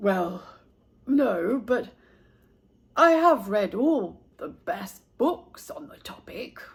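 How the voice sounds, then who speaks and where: In a put-on character voice pitched fairly high, the speaker talks at a very slow pace with long, frequent pauses. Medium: read story. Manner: polite, fussy.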